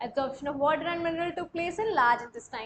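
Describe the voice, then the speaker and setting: A woman with a Marathi accent and lively intonation. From India. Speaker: online coaching teacher. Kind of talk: live online class. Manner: repetitive, explanatory.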